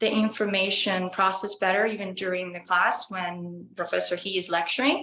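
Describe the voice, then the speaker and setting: Here a woman talks with an Estonian accent. Her tone is bright and sharp. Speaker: college student. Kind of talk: interview. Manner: hesitant.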